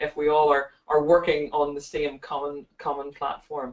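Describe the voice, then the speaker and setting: Here is a woman with a Northern Irish accent. Her pitch is very deep and low, and she keeps a moderate pace. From Northern Ireland. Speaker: optometry lecturer. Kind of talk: webinar presentation. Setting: online webinar. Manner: hesitant, many fillers and repeats.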